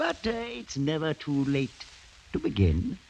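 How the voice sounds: Putting on a character voice, a man speaks fairly slowly at a fairly high pitch with very wide pitch swings, vocal fry and a slightly mellow tone.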